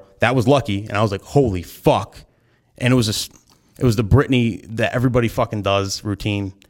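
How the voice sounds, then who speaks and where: A man with an American accent speaks at a fairly quick pace and a medium pitch, with ordinary pitch variation. It is an unremarkable speaking voice. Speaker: wedding DJ and content creator. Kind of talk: casual chat.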